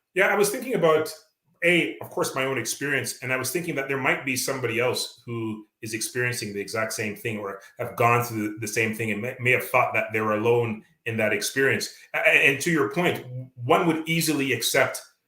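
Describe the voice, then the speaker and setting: A man with a Canadian accent talks fairly quickly in a bright, sharp tone at medium pitch with ordinary variation. Audible room echo surrounds his voice. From Canada. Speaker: author and local politician. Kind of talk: interview. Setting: radio interview. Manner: hesitant with many fillers.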